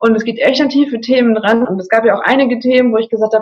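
At a very fast pace, a woman speaks in a somewhat breathy voice of fairly high pitch. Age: 20s. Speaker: coaching client, customer service manager. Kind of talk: casual interview.

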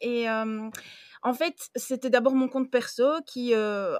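This woman has a normal speaking voice with ordinary pitch variation. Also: dry, close sound with no echo. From Belgium. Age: 30s. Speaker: book influencer and librarian. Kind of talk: casual chat.

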